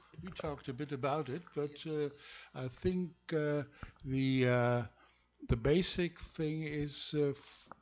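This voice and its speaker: With a German accent, a man speaks at a fairly high pitch with ordinary pitch variation. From Germany. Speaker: law professor. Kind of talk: lecture. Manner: halting.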